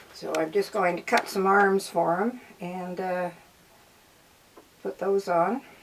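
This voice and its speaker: A woman with a Canadian accent talks at a medium pitch with fairly even intonation. She goes at a very slow pace with long, frequent pauses over noticeable background noise. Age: 80s+. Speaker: craftswoman. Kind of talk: casual interview.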